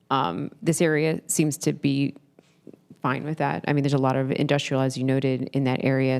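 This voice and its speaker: The voice has vocal fry and ordinary pitch variation, moving at a moderate pace. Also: woman. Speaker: city council member. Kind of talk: public meeting discussion.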